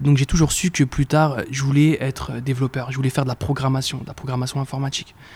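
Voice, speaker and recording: This man's voice is somewhat breathy and medium in pitch, with fairly even intonation. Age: 20s. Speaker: entrepreneur. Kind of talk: casual interview. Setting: in person office. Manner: hesitant, repeats words.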